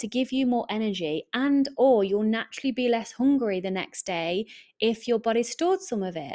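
In a very clean recording with a silent background, the speaker has an English accent and a warm, upbeat tone that is also dark and mellow. The intonation is lively and the pace moderate. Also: woman, fairly high pitch for a woman. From England. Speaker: podcast host and eating coach. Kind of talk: solo podcast monologue, casual and motivational. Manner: warm, chatty, upbeat.

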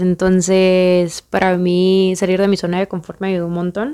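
A woman at a medium pitch, with a Guatemalan accent. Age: 20s. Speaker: podcast host, engineering student. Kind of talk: podcast monologue.

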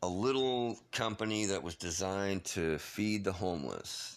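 On a very clean recording with a silent background, a man with an unremarkable speaking voice talks at a fairly slow pace and fairly low pitch with ordinary pitch variation. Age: 50s. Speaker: podcast host. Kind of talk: casual monologue. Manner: rambling, playful with laughs.

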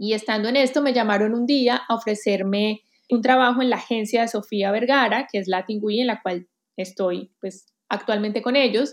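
A woman with a Colombian accent talks at a fairly high pitch with fairly even intonation. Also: moderate pace. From Colombia, Armenia (coffee region). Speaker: digital talent executive and author. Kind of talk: interview. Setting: remote call.

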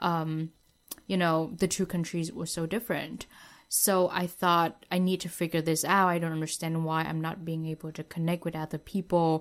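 This woman talks at a moderate pace in a low register, her pitch barely moving.

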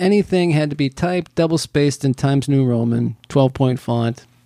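With an ordinary speaking voice, a man talks at a moderate pace and lively intonation, in a dry, close sound with no echo. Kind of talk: casual chat. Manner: rambling, bantering.

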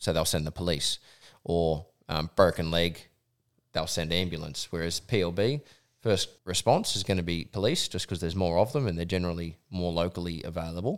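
A man with an Australian accent speaks at a fairly quick pace in a very deep, low voice with ordinary pitch variation. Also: very clean recording, silent background. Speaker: professional hunting guide. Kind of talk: casual chat.

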